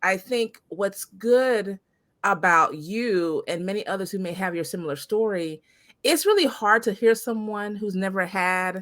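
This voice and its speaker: A woman speaks at a fairly slow pace in an unremarkable speaking voice. Her pitch is medium, with ordinary pitch variation. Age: 40s. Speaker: podcast host. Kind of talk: podcast interview.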